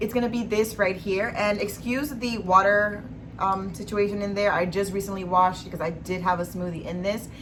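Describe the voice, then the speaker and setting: A woman's animated, fairly quick, medium-pitched speech amid noticeable background noise and audible room echo. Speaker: beauty and lifestyle vlogger. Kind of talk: monthly favorites vlog.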